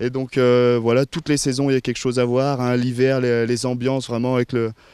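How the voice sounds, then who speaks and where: Dry and close with no echo, a man's voice has a dark, mellow tone, monotone, flat intonation and very even loudness. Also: medium pitch for a man. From France, Maurienne valley (Savoie). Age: 20s. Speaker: nature photographer and filmmaker. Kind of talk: interview. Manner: hesitant, many fillers.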